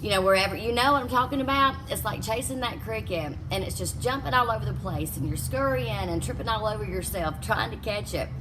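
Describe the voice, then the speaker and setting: A woman with a Southern US accent and an animated tone, hardly any pauses, audible room echo and music in the background. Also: fairly quick pace. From US South. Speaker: life coach. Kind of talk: motivational talk.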